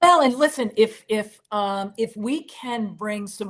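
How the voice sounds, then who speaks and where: In a quiet background, a woman with an American accent speaks in an energetic tone at a fairly high pitch with ordinary pitch variation. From Boston area, Massachusetts. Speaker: documentary filmmaker. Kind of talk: interview.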